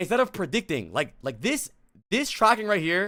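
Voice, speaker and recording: In a raised, projected voice, a man with a high pitch sounds animated, his tone bright and sharp and his intonation lively. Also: very clean recording, silent background. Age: 20s. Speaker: streamer and game coach. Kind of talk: live stream commentary on gameplay reviews. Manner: casual, animated.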